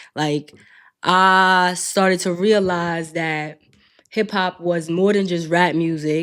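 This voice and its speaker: A woman with a New York accent speaks very slowly in a fairly low voice with fairly even intonation, recorded very cleanly against a silent background. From New York City, Queens. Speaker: podcast host, clinical social worker. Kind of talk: casual podcast monologue.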